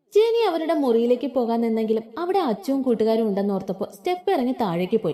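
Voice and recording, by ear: Lively intonation, natural voice reading text out loud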